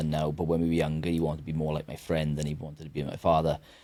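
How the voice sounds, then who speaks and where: A man with a Welsh accent, very deep and low, flat monotone delivery at a very fast pace on a very clean recording with a silent background. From Wales. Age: 30s. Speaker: mental health advocate and author. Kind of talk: podcast interview. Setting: studio.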